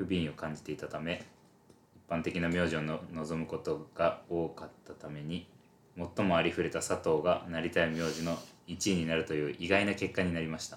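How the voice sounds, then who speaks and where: Moderate pacing and a monotone, flat delivery. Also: man. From Japan, Shizuoka. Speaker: podcast co-host, university student. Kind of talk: casual chat.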